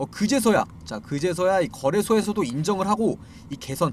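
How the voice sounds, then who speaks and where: A man talking at a fairly quick pace with very wide pitch swings. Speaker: stock market commentator. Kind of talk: video commentary on stock disclosures. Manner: frequent filler words and repetitions.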